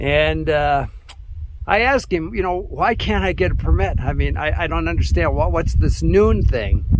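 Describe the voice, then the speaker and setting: This man talks at a moderate pace in a room with audible echo and noticeable background noise. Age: 70s. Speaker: backpacking vlogger. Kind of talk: outdoor vlog rant. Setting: outdoors on a mountain peak. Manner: conversational, with hesitations.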